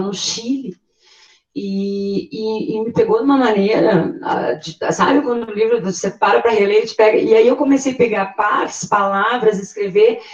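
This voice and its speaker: Lively in intonation, a woman speaks at a fairly high pitch. Her pace is moderate. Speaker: literature discussant. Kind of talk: group discussion. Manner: hesitant, many repetitions.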